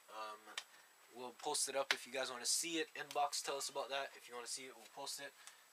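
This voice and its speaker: Over noticeable background noise, a man talks at a fairly quick pace with a fairly high pitch and fairly even intonation. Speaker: card game video host. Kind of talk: casual chat. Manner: fast.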